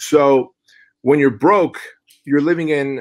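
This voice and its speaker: In a very clean recording with a silent background, a man with an ordinary speaking voice and fairly high pitch talks at a moderate pace with ordinary pitch variation. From Soviet Union, raised in US from age six. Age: 40s. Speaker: fitness entrepreneur and author. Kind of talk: podcast interview. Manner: casual, conversational.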